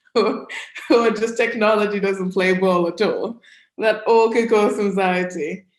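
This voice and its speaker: In a British accent, a woman with a fairly high voice speaks at a fairly slow pace, keeping fairly even intonation and very even loudness. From United Kingdom. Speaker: career coach. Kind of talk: presentation to an audience. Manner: conversational.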